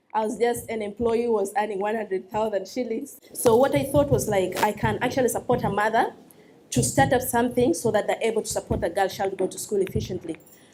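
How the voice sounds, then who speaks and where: A woman talks at a very fast pace in a Ugandan accent. Her pitch is fairly high, with ordinary variation. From Uganda, West Nile. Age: 20s. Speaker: social entrepreneur. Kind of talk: talk to an audience. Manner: hesitant, many fillers.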